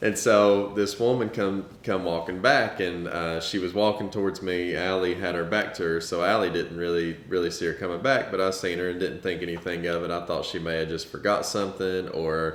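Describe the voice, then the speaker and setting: Audible room echo surrounds a man with a very deep, low pitch and a Southern US accent. He speaks with hardly any pauses and ordinary pitch variation. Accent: Southern US, country. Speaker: parent of child with rare disease, family vlogger. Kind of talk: casual storytelling.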